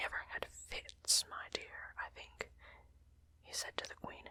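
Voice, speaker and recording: The voice here is a whisper. Behind it sits noticeable background noise. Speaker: ASMR audiobook reader. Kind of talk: audiobook reading of a classic novel. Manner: whispered.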